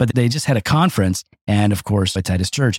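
A man speaks at a fairly quick pace with lively intonation. His voice is somewhat breathy, and the sound is dry and close with no echo. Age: 50s. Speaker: pastor. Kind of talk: casual chat.

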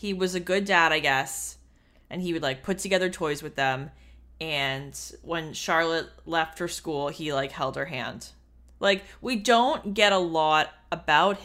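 A woman speaks in a plain, everyday voice, pitched fairly low. Her pace is fairly slow and her pitch varies in an ordinary way. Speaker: podcast host. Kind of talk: casual podcast chat, book discussion.

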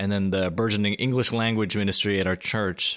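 With an unremarkable speaking voice, a man at fairly low pitch talks at a fairly quick pace on a very clean recording with a silent background. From US, Korean American family. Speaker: blogger and author. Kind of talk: casual interview.

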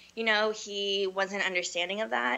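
A woman with an American accent speaks at a medium pitch with ordinary pitch variation. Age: 20s. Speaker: hairstylist. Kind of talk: personal testimony. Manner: casual, upbeat.

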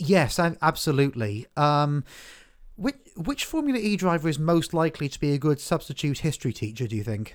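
A man with a plain, everyday voice, fairly high pitch and lively intonation at a fairly quick pace, on a very clean recording with a silent background. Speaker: podcast host. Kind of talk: casual chat.

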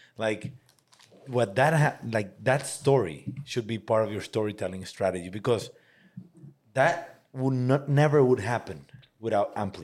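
A man with a Spanish accent speaks at medium pitch and a fairly slow pace. His intonation is lively, broken by long, frequent pauses. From Mexico. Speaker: podcast host. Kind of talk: casual interview.

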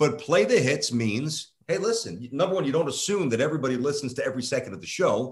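The speech comes at a very fast pace with hardly any pauses, somewhat breathy and with lively intonation. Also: man, fairly high pitch for a man. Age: 40s. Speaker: sports radio host. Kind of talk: casual interview.

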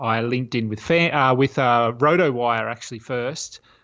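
A man with an Australian accent. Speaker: fantasy basketball writer. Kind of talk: casual chat. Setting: remote call. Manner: halting.

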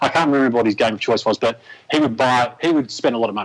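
The voice has an Australian accent. It belongs to a man. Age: 30s. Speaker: sports commentator. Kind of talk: casual chat.

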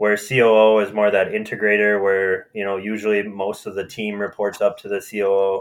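A man's fairly low voice, monotone and flat, at a moderate pace with hardly any pauses. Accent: Upper Midwest. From Minnesota (Marshall, southwest). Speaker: marketing agency president. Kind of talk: casual interview.

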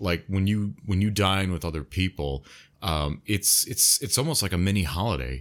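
A man with an American accent, a very deep, low pitch, and vocal fry, at a moderate pace with lively intonation and very even loudness, in a very clean recording with a silent background. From United States. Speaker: podcast co-host. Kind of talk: casual chat.

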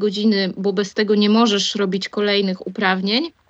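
A woman talks at a fairly quick pace in a medium pitch. Her intonation is monotone and flat. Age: 20s. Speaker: airline pilot and flight instructor. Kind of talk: casual interview.

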